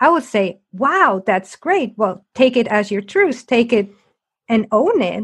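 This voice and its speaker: Pitch swings very widely as the words come out at a very slow pace. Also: woman, fairly high pitch for a woman. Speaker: podcast host and coach. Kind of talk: interview conversation; scripted intro. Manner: loud, bubbly.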